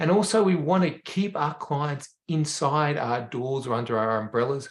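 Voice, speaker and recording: At a moderate pace, a man with a fairly high pitch speaks in a somewhat breathy voice with lively intonation. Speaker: veterinarian, rehab educator. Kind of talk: webinar presentation.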